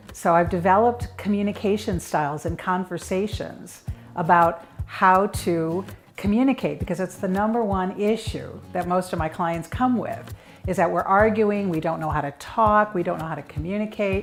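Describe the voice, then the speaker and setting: A woman talks with a Chicago accent. Her pitch is medium, with ordinary pitch variation. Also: moderate pace. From US Midwest, Chicago. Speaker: marriage coach. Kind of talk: interview monologue.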